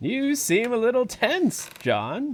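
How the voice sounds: Slowly, a man performs a put-on character voice at an extremely high pitch, swinging very wide in pitch.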